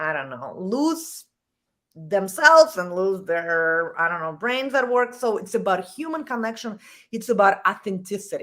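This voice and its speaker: A woman speaks at a medium pitch and a moderate pace, her pitch swinging very widely, on a very clean recording with a silent background. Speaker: executive coach. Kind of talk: casual interview. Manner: animated.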